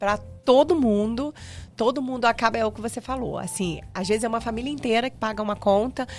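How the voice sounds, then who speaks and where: A woman with a fairly high pitch speaks over music in the background. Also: ordinary pitch variation, fairly quick pace. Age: 40s. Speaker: podcast host. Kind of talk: casual chat.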